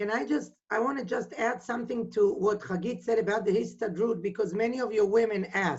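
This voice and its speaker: A woman with an Israeli accent speaks in a fairly high voice with vocal fry. Her pace is fairly quick, with hardly any pauses and ordinary pitch variation. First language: Hebrew. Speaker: women's organization representative. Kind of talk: video call interview. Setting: video call.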